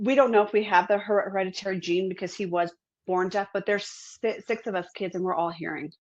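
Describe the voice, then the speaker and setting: Speaking with an East Coast US accent, a woman uses a medium pitch and ordinary pitch variation. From US East Coast. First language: American Sign Language. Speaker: author. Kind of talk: interview. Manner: halting.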